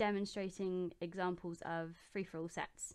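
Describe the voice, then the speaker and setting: A woman speaks at a medium pitch in a southern English accent. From southeast England, Oxfordshire. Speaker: gaming YouTuber. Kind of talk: casual Q&A vlog. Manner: hesitant, many ums.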